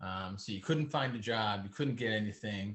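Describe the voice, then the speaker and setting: A man's ordinary speaking voice, medium-pitched, with fairly even intonation. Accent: American. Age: 60s. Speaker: real estate entrepreneur. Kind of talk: interview. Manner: casual.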